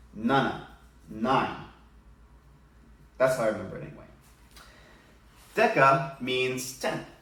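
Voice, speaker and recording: Speaking at a fairly slow pace with long, frequent pauses, a man of medium pitch and ordinary pitch variation swings widely in loudness amid audible room echo and noticeable background noise. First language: Spanish. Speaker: elementary school teacher. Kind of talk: tutorial. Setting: home living room.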